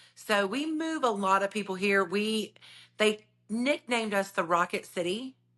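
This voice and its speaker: With a Southern US accent, a woman talks in a fairly high pitch with a bright, sharp tone over a quiet background. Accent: Southern twang. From North Alabama (Decatur). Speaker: realtor. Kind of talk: podcast interview. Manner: animated.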